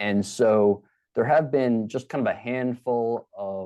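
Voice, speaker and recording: A man with a Baltimore accent speaks in a dark, mellow tone against a quiet background. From Baltimore, Maryland. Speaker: criminology professor. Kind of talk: interview. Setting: podcast.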